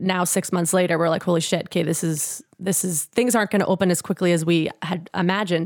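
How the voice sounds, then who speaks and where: At a fairly quick pace, a woman with a Canadian accent speaks at medium pitch in a plain, everyday voice on a very clean recording with a silent background. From Canada, Edmonton, Alberta. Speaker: punk singer and guitarist. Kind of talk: casual chat.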